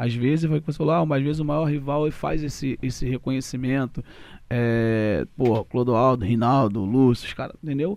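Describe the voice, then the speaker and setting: This man has a normal speaking voice at a medium pitch, with lively intonation. He talks at a fairly quick pace in a very clean recording with a silent background. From Rio de Janeiro, Brazil. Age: 30s. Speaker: former footballer, aspiring coach. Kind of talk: casual interview.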